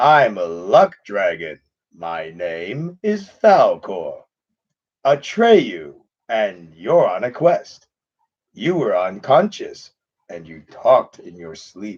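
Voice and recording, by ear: A man puts on a character voice at a medium pitch. He delivers it at a very slow pace.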